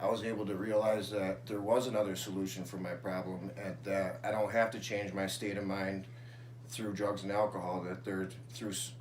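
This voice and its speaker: In a room with audible echo, a man with an American accent talks at a moderate pace, using a fairly low pitch and fairly even intonation. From Syracuse, New York, US. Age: 20s. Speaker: person in addiction recovery. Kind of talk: interview testimony.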